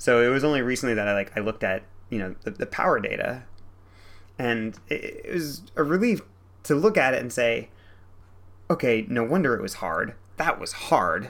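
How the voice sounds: A man speaks at a moderate pace and medium pitch, with a fairly bright tone and lively intonation. He leaves long, frequent pauses.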